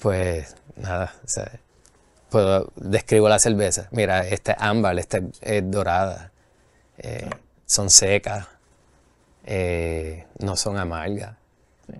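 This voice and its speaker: Against a quiet background and in a dry sound with no echo, a man with a very deep, low pitch speaks very slowly, with fairly even intonation and long, frequent pauses. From Puerto Rico. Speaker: brewery owner and brewer; guest. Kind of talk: casual interview chat. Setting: studio. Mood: relaxed, friendly storytelling. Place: studio.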